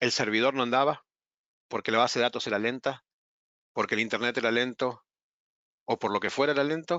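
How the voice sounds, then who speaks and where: With an Argentine accent, a man talks at a fairly quick pace and with fairly even intonation, leaving long, frequent pauses. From Argentina. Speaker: webinar presenter. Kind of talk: webinar presentation. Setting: online webinar.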